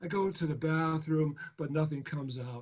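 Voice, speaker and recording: In a quiet background, a man with a high pitch talks at a moderate pace with ordinary pitch variation. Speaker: poet. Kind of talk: poetry reading. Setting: video call. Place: home room. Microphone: webcam.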